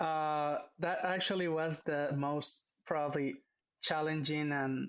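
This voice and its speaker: A man speaks with a Spanish accent. His pitch is fairly high. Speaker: business executive. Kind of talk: interview. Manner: halting, many fillers.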